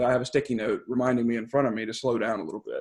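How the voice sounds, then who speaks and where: Very fast speech with fairly even intonation. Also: man. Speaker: engineer giving a presentation. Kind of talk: webinar presentation. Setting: video call. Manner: fast when nervous.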